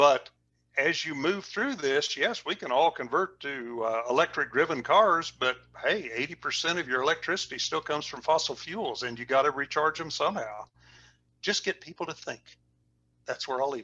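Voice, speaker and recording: Over a quiet background, a man with a fairly high pitch and a bright, sharp tone talks at a moderate pace. His intonation is lively, and his loudness swings widely. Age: 70s. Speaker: oil and gas industry consultant.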